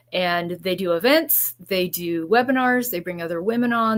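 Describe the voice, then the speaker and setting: A woman speaks at a moderate pace with ordinary pitch variation. She has an unremarkable speaking voice. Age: 60s. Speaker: realtor. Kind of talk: live interview.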